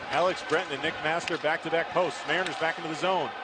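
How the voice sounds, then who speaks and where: A man speaks over noticeable background noise. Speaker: hockey play-by-play announcer. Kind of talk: live sports commentary, play-by-play call of a hockey game. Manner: rapid-fire, clipped, breathless play-by-play; rises in excitement on goals and close calls, unsure and questioning on a disputed goal.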